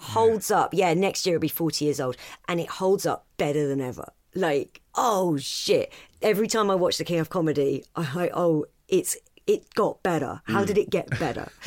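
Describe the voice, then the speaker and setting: A woman with an English accent and a fairly low pitch. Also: lively intonation, moderate pace. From Britain. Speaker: stand-up comedian. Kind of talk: casual chat.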